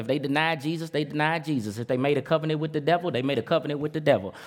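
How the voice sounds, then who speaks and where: An animated tone comes from a man with a fairly high pitch. His pitch variation is ordinary. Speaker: preacher. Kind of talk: sermon. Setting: church with congregation. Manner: animated, call-and-response, urging the congregation to shout back; rhythmic, emphatic, punchy, with vivid phrases and colloquial asides.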